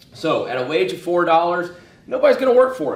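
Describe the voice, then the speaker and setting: At a fairly quick pace, a man talks with ordinary pitch variation amid noticeable background noise and audible room echo. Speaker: economics teacher. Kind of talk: lecture. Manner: fast; animated.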